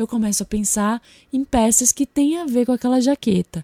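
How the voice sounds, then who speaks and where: A woman with a dark, mellow tone talks at a moderate pace with ordinary pitch variation. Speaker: podcast host and style consultant. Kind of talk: solo podcast monologue. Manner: getting quieter as voice fades.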